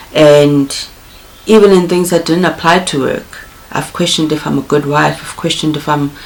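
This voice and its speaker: Moderate pace over noticeable background noise. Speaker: content creator. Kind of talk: personal vlog monologue. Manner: halting, with repetitions.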